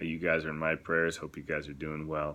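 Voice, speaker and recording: Soft-spoken and monotone, with flat intonation, a man with an American accent talks at a very deep, low pitch in a bright, sharp tone. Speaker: missionary. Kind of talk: video blog. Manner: halting.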